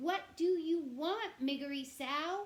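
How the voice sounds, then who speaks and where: A woman uses a squeaky put-on character voice at an extremely high pitch, talking at a fairly slow pace. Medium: read story. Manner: gentle.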